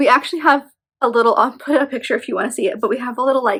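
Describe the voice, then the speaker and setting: A woman speaks with a high pitch. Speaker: book vlogger. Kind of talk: casual video monologue. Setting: home nursery.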